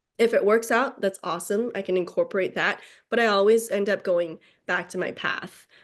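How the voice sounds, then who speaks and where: With a Chinese accent, a woman of medium pitch talks at a fairly quick pace with fairly even intonation against a quiet background. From China, Beijing. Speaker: novelist. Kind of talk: interview. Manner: hesitant, many 'um' fillers.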